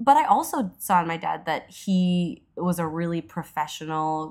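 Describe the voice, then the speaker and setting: A woman with an ordinary speaking voice sits at a fairly low pitch with ordinary pitch variation. The recording is very clean, with a silent background. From Edmonton, Alberta, western Canada. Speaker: comedian and actress. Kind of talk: casual interview chat.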